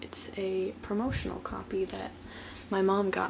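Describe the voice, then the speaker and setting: The speaker is soft-spoken and talks at a fairly slow pace. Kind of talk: ASMR show and tell. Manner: soft-spoken, relaxing.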